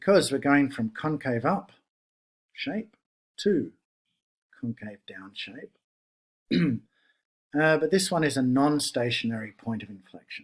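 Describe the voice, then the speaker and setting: This man's voice sits at a fairly high pitch, with lively intonation and big swings in loudness. He speaks at a fairly slow pace, with long, frequent pauses. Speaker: math teacher. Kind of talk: tutorial.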